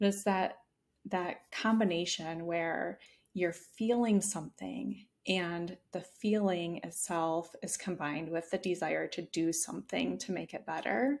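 In a very clean recording with a silent background, a woman with an unremarkable speaking voice talks fairly slowly, her fairly low pitch varying in an ordinary way. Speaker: psychologist and burnout expert. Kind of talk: interview conversation.

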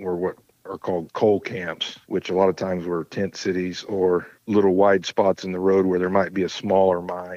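A man with a very deep, low voice and an American accent talks in a monotone, flat way. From southeast Kansas (Pittsburg). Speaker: guest, author and poet. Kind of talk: casual interview.

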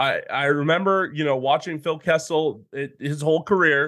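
With an American accent, a man in an ordinary speaking voice keeps a fairly high pitch, fairly even intonation and a moderate pace. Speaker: hockey podcast co-host. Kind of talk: casual chat.

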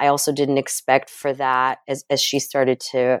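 A woman speaks in a Russian accent with a very deep, low pitch. She keeps a moderate pace, and the sound is dry and close with no echo. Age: 40s. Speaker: memoir author. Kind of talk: interview. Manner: hesitant, many fillers.

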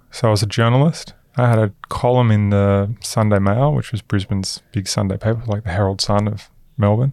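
A man with an Australian accent talks at a fairly quick pace in a fairly low pitch. His intonation is fairly even, and the recording is very clean with a silent background. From Queensland, Australia. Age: 30s. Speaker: venture capital investor. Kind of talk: interview conversation.

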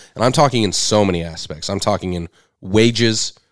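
Fairly quick, fairly low-pitched speech from a man, in a plain, everyday voice. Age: 30s. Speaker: podcast co-host. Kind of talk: casual chat. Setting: studio.

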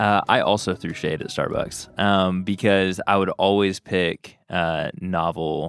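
A man with an American accent speaks very slowly, with hardly any pauses. His very deep, low voice stays monotone and flat. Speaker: church ministry leader. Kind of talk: casual chat.

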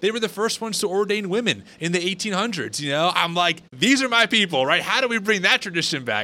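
A man with an American accent speaks in a raised, projected voice, high-pitched with a bright, sharp tone and lively intonation, at a very fast pace with hardly any pauses. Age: 30s. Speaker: podcast host. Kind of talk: casual interview conversation.

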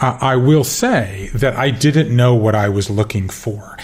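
A man with an American accent, medium-pitched, with ordinary pitch variation and noticeable background noise. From US South, Georgia. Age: 50s. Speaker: author. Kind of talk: interview.

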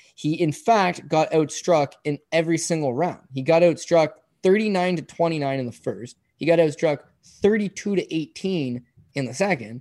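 A man speaks with fairly high pitch. His pitch varies in an ordinary way. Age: 30s. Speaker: combat sports analyst and bettor. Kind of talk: casual chat. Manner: animated, fast talker.

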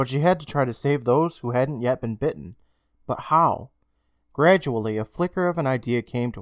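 Quiet background behind a natural reading voice

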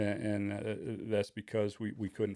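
A man's fairly low voice in a Midwestern American accent. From Michigan, Kalamazoo area. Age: 50s. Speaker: high school football coach and teacher. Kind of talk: casual chat.

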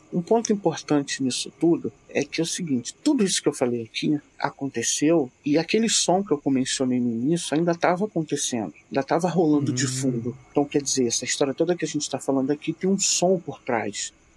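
A man's fairly high-pitched, normal speaking voice, fairly quick and nearly pause-free, with lively intonation. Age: 40s. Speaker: storyteller recounting his father's UFO encounter. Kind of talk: casual interview, storytelling.

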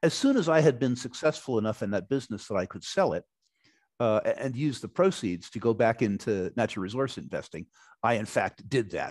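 A man's plain, everyday voice at medium pitch, with lively intonation. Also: fairly quick pace. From United States. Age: 60s. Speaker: resource investor. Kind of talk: interview.

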